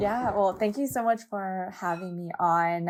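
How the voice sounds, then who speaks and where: Speaking with a West Coast US accent, a woman with a fairly low pitch talks at a fairly slow pace in a very clean recording with a silent background. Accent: General American, West Coast. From Southern California, Los Angeles. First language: Japanese. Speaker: fashion brand founder and nonprofit co-founder. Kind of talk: podcast interview.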